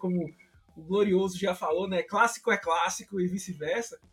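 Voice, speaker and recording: This man speaks in a Recife accent at a moderate pace. His pitch is high, with ordinary variation. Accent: northeastern Brazilian (Recife). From Brazil, Recife (Pernambuco). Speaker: American football fan site admin. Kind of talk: casual podcast chat.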